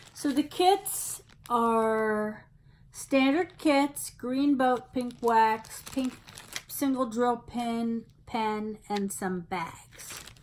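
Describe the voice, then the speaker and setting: A woman speaks at a very slow pace, her fairly high voice carrying lively intonation. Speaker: craft hobby youtuber. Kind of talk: casual unboxing video. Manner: distracted, halting.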